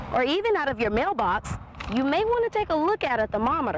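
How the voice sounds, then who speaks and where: With very wide pitch swings, a woman speaks at a moderate pace over noticeable background noise. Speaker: TV news reporter. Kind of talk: TV news report.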